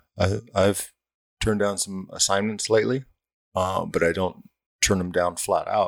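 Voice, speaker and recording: This man has a plain, everyday voice with a fairly low pitch, an American accent and a moderate pace. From Santa Ana, Orange County, California. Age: 50s. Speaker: fire captain. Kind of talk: casual chat.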